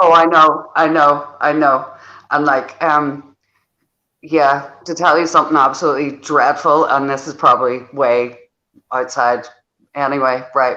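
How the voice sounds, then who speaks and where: With a Northern Irish accent, a woman speaks at a fairly slow pace in a very deep, low pitch, her tone bright and sharp and her intonation fairly even. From Northern Ireland. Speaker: football podcast panelist. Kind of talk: casual chat.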